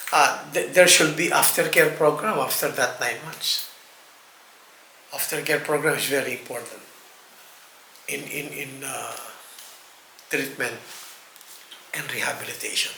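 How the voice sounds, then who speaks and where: The voice moves at a fairly slow pace with fairly even intonation, long, frequent pauses, and big swings in loudness. Noticeable background noise and audible room echo fill the recording. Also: man, fairly high pitch for a man. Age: 60s. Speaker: rehab manager. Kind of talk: interview. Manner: halting, frequent repetitions and fillers.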